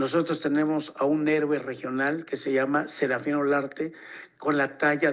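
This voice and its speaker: At a fairly slow pace, a man speaks in a fairly high pitch with monotone, flat intonation. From Mexico, northern Veracruz/Puebla Totonac region. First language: Totonac (tutunacú) (speaking Spanish). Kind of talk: forum talk. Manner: halting, many fillers.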